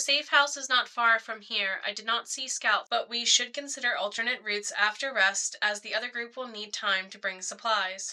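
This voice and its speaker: The speaker uses a put-on, sing-song character voice at a moderate pace, with big swings in loudness and hardly any pauses. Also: woman, fairly high pitch for a woman. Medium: read story. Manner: formal, measured, no contractions.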